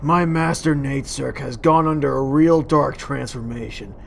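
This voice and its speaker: A cartoonish character voice at a low-to-middle pitch moves at a moderate pace over clear background noise. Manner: chatty, complaining.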